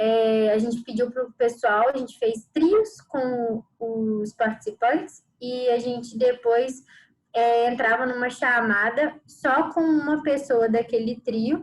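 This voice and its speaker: A woman speaks at a very slow pace with high pitch. Her intonation stays fairly even. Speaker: trainer. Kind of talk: online training presentation.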